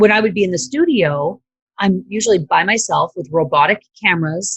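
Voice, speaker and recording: A woman speaks at a moderate pace with lively intonation and a medium pitch. Her voice is somewhat breathy. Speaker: former TV broadcaster and video marketer. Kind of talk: interview.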